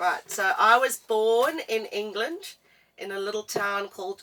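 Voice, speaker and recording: Speaking very slowly with a strong South African accent, a woman uses a fairly high pitch, ordinary pitch variation and a bright, sharp tone. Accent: thick South African. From South Africa, East London. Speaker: travel vlogger. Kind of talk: casual chat.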